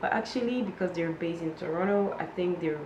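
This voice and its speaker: A woman's fairly low voice amid audible room echo and noticeable background noise. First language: not English. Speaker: lingerie blogger and YouTuber. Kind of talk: product review vlog. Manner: hesitant, many fillers.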